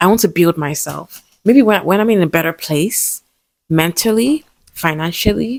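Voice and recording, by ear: A woman's low-pitched voice, dry and close, with no echo.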